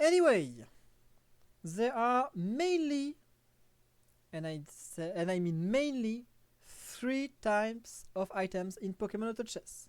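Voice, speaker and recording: With a French accent, a woman speaks at a very slow pace with long, frequent pauses, her fairly high pitch swinging very widely, in a very clean recording with a silent background. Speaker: gaming streamer. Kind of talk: tutorial. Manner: halting, with frequent fillers.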